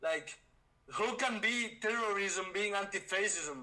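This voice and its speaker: A man with a Spanish accent speaks in a high, raised, projected voice with ordinary pitch variation. His pace is fairly slow, and there is noticeable background noise. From Spain. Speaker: debater. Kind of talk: heated debate.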